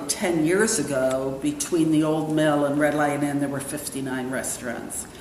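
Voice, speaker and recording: Noticeable background noise and audible room echo accompany speech delivered at a moderate pace. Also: woman. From New York City and Brussels. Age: 60s. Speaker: restaurant owner. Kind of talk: interview.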